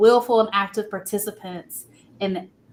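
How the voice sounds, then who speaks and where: Speaking at a fairly slow pace, a plain, everyday voice carries an American accent. Its intonation stays fairly even. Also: woman. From Texas, Austin area. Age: 20s. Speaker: political candidate. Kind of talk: interview. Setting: live podcast stream.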